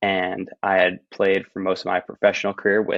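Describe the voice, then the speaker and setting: At a fairly quick pace, a man talks with a New Jersey accent. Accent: American, New Jersey. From New Jersey, US. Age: 20s. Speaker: professional roundnet player. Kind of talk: podcast interview.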